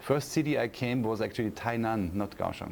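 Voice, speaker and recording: A man with a German accent speaks at a moderate pace with a fairly low pitch. His pitch varies in an ordinary way. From Austria. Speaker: university professor. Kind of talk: interview. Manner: hesitant, many fillers and repeats.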